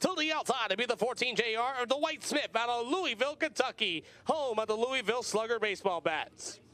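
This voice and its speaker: This man projects a raised voice at a high pitch with a bright, sharp tone. He moves at a moderate pace with lively intonation. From Pennsylvania. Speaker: race announcer. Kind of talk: live commentary; driver lineup announcement. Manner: animated.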